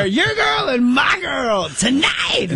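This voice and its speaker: A raspy, put-on character voice at a fairly high pitch, with clear background noise. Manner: suggestive.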